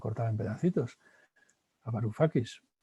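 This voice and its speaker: Music plays in the background. A man speaks over it at a medium pitch. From Spain. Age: 60s. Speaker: philosopher and professor. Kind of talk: interview.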